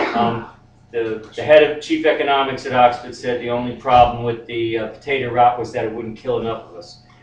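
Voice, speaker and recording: A man talks at a fairly quick pace with fairly even intonation and big swings in loudness. Noticeable background noise runs underneath. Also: medium pitch for a man. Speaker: poet. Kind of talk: casual spoken introduction.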